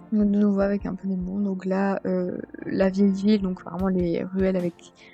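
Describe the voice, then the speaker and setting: A woman's medium-pitched voice, fairly slow and monotone with flat intonation, over music in the background. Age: 20s. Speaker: vlogger. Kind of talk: commented slideshow vlog. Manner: hesitant, many fillers.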